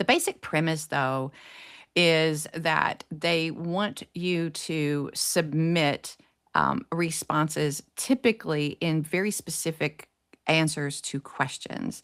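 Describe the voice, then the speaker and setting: Very slowly and in a very deep, low pitch, a woman with an American accent speaks with ordinary pitch variation, the sound dry and close with no echo on a very clean recording with a silent background. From US South, East Tennessee. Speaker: publicist. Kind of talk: podcast interview. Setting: live podcast show.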